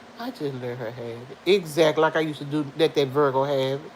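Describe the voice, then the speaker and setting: Over noticeable background noise, a woman talks at a moderate pace in an animated tone. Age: 50s. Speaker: livestream vlogger. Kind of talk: casual chat with live viewers. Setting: at home.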